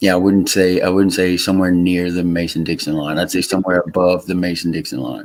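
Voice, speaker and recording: A man with an American accent talks very fast, with hardly any pauses. His very deep, low voice keeps a fairly even intonation. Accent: Louisiana Southern US with some Texas twang. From Louisiana. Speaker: live streamer. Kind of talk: casual chat.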